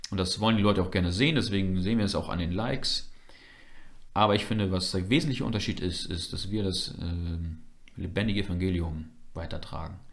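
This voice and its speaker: A man's very deep, low voice at a very fast pace, with long, frequent pauses, ordinary pitch variation and audible room echo. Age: 20s. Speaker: church member and media volunteer. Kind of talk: casual interview.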